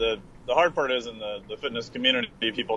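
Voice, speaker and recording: A man talks at a fairly quick pace with fairly even intonation. He has a plain, everyday voice. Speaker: exercise physiologist. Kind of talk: casual chat. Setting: remote call from the road.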